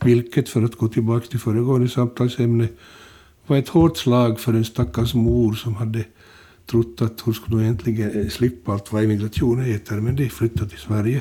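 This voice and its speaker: At a moderate pace, a man with a medium pitch speaks in a dark, mellow, somewhat breathy tone with fairly even intonation. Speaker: retired journalist and author. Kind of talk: interview.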